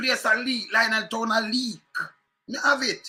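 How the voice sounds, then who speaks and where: With a Jamaican accent, a man speaks in an extremely high pitch, his raised, projected voice animated and bright, sharp in tone. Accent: Jamaican Patois. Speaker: political commentator. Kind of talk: political rant.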